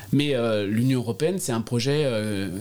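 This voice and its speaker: A man speaks at a moderate pace, his medium pitch moving with ordinary variation. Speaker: politician. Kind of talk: interview. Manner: halting, many repetitions and hesitations.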